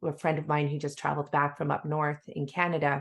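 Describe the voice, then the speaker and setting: Vocal fry from a woman with a very deep, low pitch, a fairly quick pace and monotone, flat intonation over a quiet background. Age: 40s. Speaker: podcast host. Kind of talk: interview.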